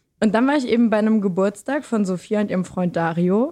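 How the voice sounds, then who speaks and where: A woman's plain, everyday voice at a medium pitch, with ordinary pitch variation and a quiet background. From Lower Saxony, Germany. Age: 20s. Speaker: student and podcaster. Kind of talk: casual chat.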